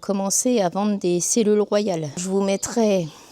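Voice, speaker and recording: A woman's voice at medium pitch. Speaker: beekeeper. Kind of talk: casual vlog. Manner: hesitant, many fillers.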